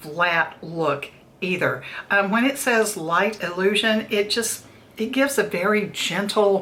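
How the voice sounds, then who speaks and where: A woman with a plain, everyday voice speaks at a fairly slow pace in a medium pitch, with very even loudness and ordinary pitch variation. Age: 60s. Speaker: beauty vlogger. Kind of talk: product review tutorial. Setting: daughter's makeup room, recording video. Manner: conversational, friendly.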